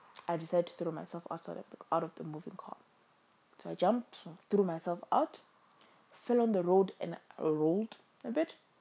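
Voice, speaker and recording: Against noticeable background noise, a woman talks at a fairly quick pace with long, frequent pauses. Her fairly low pitch varies in an ordinary way while her loudness swings widely. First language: not English. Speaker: podcast host sharing personal story. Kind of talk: personal testimony monologue. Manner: halting, many fillers.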